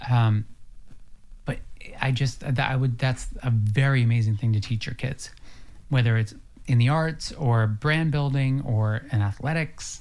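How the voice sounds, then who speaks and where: Music plays in the background while a man talks at a fairly slow pace. He has an American accent and takes long, frequent pauses. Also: medium pitch for a man, fairly even intonation. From US, rural farm. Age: 30s. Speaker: lifestyle expert and brand builder. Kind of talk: casual chat.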